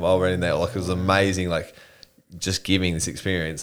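With an Australian accent, a man talks at a fairly quick pace in a very deep, low voice and a monotone, flat intonation, on a very clean recording with a silent background. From Australia, Newcastle NSW. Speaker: army veteran and builder, mental health advocate. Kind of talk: casual interview chat.

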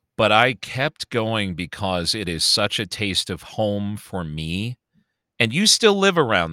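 A man speaks at a fairly slow pace with lively intonation and a fairly low pitch. His tone is bright and sharp, and the sound is dry and close with no echo. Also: very clean recording, silent background. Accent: American. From Chicago. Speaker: podcast co-host. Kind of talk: casual chat.

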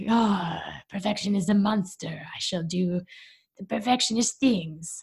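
In a put-on character voice with a French accent, a woman speaks at a moderate pace and medium pitch. Her tone is dramatic and theatrical. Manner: dramatic, theatrical.

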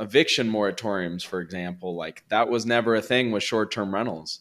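A man with a Californian accent talks at a fairly quick pace, his pitch rising and falling in an ordinary way. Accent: Californian American English. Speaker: real estate investor. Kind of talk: interview.

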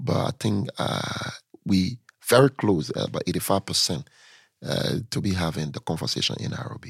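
A man's fairly low voice with vocal fry and lively intonation, dry and close with no echo, in a very clean recording with a silent background. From Liberia (Lofa County, raised in Monrovia). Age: young. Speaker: city mayor and politician. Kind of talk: interview.

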